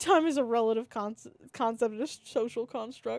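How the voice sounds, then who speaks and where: A woman speaks with a Maryland accent and lively intonation. The recording is very clean, with a silent background. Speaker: vtuber streamer. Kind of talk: casual livestream chat.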